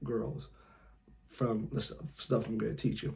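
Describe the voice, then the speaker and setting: A man with a medium pitch speaks in a somewhat breathy voice. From California. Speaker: dating advice youtuber. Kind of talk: tutorial. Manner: casual, lots of filler words.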